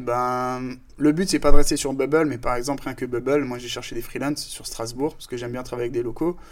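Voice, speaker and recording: A man speaks fairly quickly at medium pitch with fairly even intonation. He has an unremarkable speaking voice. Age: 30s. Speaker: startup founder. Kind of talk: casual interview.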